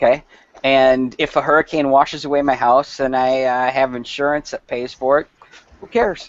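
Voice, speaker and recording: The speaker is a man with a northern US accent and a medium pitch. He talks at a moderate pace with fairly even intonation. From Wisconsin / Minnesota. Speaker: company representative. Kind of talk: casual chat. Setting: video call.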